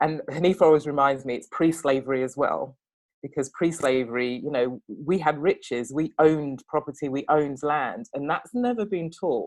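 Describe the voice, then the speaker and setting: With an English accent, this voice moves along at a moderate pace. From England. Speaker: panel guest in discussion on race. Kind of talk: podcast panel discussion.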